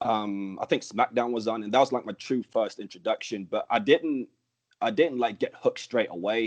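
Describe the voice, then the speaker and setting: Someone with a Birmingham accent speaks at a moderate pace. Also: man. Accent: English, from growing up in Birmingham. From Denmark and Birmingham, England. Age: 20s. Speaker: professional wrestler. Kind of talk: interview. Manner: casual, many fillers like um and like.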